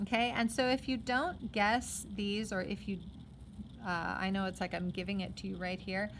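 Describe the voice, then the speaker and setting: A woman speaks in an ordinary speaking voice at medium pitch and a fairly quick pace, with fairly even intonation. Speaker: math teacher. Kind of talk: tutorial.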